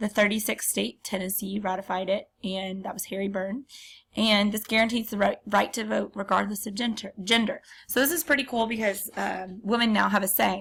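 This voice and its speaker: Vocal fry runs through this woman's speech. She keeps a moderate pace and fairly even intonation. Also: medium pitch for a woman. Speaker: teacher. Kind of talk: lecture. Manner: hesitant, many filler ums.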